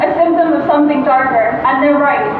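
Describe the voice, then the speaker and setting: A woman at a very fast pace in an American accent, with high pitch and ordinary pitch variation, plus audible room echo and noticeable background noise. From United States. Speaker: former student, student union worker. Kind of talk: rally speech.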